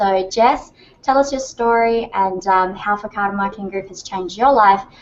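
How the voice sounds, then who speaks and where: A woman with an Australian accent speaks at a moderate pace, her medium pitch rising and falling in an ordinary way. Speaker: online marketing trainer and co-founder. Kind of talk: webinar sales pitch. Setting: live video hangout. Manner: animated.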